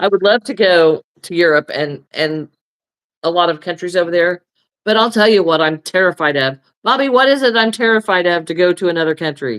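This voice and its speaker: A woman with an American accent has an ordinary speaking voice, fairly low in pitch, with lively intonation and a fairly quick pace. The sound is dry and close, without echo. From United States. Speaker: crochet and craft livestreamer. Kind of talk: casual chat.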